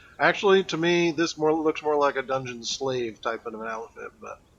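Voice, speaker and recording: A man mumbles. His pitch is fairly high. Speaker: game streamer. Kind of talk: live gameplay stream chat. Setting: live stream. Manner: mumbling. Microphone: old mic, too quiet.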